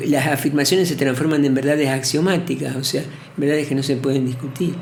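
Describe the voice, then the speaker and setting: A man talks at a very fast pace with an Argentine accent and a fairly high pitch. His intonation is fairly even, with audible room echo and noticeable background noise. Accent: Rioplatense Argentine Spanish. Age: 70s. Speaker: poet and professor. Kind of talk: interview. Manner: halting.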